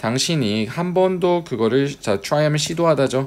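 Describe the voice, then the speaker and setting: A man with a normal speaking voice, medium in pitch, with lively intonation. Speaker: English teacher. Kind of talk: lecture.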